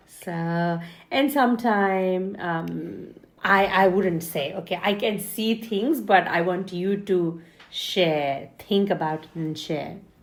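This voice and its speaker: A woman with a non-native accent talks at a very slow pace in a medium pitch. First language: not English. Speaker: podcast co-host, mother. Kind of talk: casual chat.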